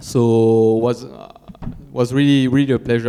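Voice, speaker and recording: A man's flat, monotone delivery at a moderate pace, in a French accent, over noticeable background noise. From France. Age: 30s. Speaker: cross-country mountain bike racer. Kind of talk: press conference answer. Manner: halting.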